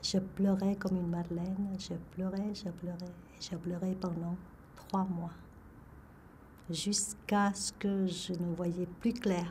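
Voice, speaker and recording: Amid audible room echo, a woman with a medium pitch speaks at a very slow pace in a monotone, flat intonation, with long, frequent pauses. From Vietnam. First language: Vietnamese (speaking French). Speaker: retired engineer telling her life story. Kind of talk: life story testimony. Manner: halting, many hesitations.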